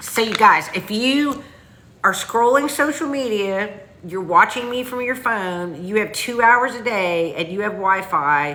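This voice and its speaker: With a strong Southern US accent, a woman speaks at a fairly slow pace and a fairly high pitch. Her intonation is lively, and audible room echo surrounds her. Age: 50s. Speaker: online business coach. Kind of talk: livestream sales pitch. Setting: livestream. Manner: casual, chatty.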